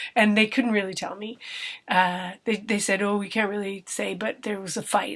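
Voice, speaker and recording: With a Canadian accent, a woman at medium pitch speaks fairly quickly in a flat monotone over noticeable background noise. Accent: Canadian, noticeable to British listeners. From Canada. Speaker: vlogger. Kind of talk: casual vlog monologue. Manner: conversational, with hesitations and self-corrections.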